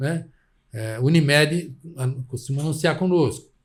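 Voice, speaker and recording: Somewhat breathy, a man talks at a moderate pace in a fairly high pitch with ordinary pitch variation. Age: 70s. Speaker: journalist. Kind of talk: interview.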